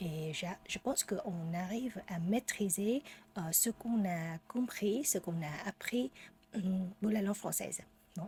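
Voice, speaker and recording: A woman speaks very slowly at a medium pitch, her voice somewhat breathy. She leaves long, frequent pauses. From Vietnam. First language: Vietnamese (speaking French). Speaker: French learner vlogger. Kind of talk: casual unscripted monologue. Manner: halting, many hesitations.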